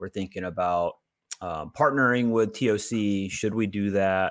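This is a man with an American accent and a fairly low pitch. He has a normal speaking voice. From US South, Georgia (Augusta). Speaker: pickleball player and podcast co-host. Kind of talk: casual chat. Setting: remote recording.

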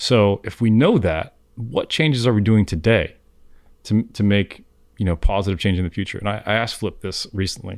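Speaking at a fairly quick pace with a South Florida accent, a man with a fairly low pitch and ordinary pitch variation is heard on a very clean recording with a silent background. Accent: South Florida American. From South Florida, Miami. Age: 40s. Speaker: fishing guide. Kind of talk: casual chat.

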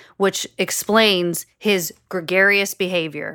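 In an American accent, a woman speaks at a very slow pace, with a dry, close sound and no echo. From Chicago. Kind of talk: casual chat.

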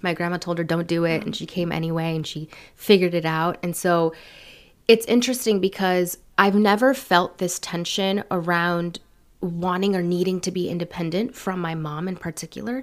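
A woman with a plain, everyday voice talks at a moderate pace with ordinary pitch variation, recorded very cleanly against a silent background. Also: fairly low pitch for a woman. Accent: American. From San Francisco Bay Area, California; Mexican parents. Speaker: public speaker and podcast host. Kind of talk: casual interview chat.

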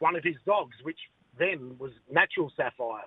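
A man talks with an Australian accent at a moderate pace. His pitch is high. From Western Australia, Perth. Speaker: greyhound owner and breeder. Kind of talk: casual interview.

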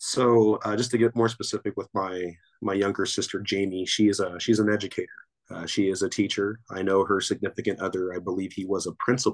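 Speaking fast-ish with a Southern California accent, a man keeps a fairly low pitch and a monotone, flat intonation at a fairly quick pace. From Torrance, Los Angeles area. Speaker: basketball coach and grad student. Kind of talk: casual interview.

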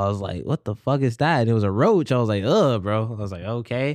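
An ordinary speaking voice with an American accent moves at a fairly quick pace with fairly even intonation against a quiet background. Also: man. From US South, South Carolina. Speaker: roommate of the featured musician. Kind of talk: casual chat.

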